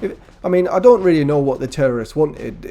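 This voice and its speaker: A man with an English accent talks at a moderate pace with ordinary pitch variation. Music plays in the background. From England. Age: 70s. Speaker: gaming youtuber. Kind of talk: casual chat. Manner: halting.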